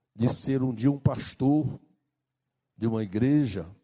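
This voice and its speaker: A man's medium-pitched, dark, mellow voice at a very slow pace, with ordinary pitch variation. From Brazil, rural Maranhão. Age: 60s. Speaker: pastor. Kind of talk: sermon.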